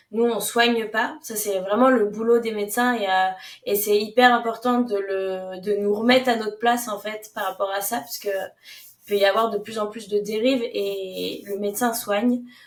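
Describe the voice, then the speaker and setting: A woman's fairly high, monotone voice, flat in intonation, at a moderate pace with hardly any pauses. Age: 20s. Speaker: naturopath. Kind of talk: podcast interview. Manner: hesitant, many fillers.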